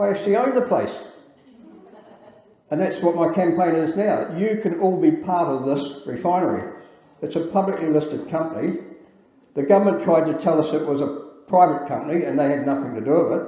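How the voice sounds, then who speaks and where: A man with a New Zealand accent talks at a fairly quick pace in a high voice with ordinary pitch variation. Room echo is audible, along with noticeable background noise. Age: 60s. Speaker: engineer and campaigner. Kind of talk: speech at public event. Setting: event with audience. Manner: halting.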